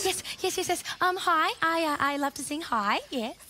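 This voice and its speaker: A woman's extremely high, raised and projected voice with lively intonation at a very slow pace, over light background noise. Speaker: cartoon character auditioning for a choir. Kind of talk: children's show character play. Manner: excitable, eager. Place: studio. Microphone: headset.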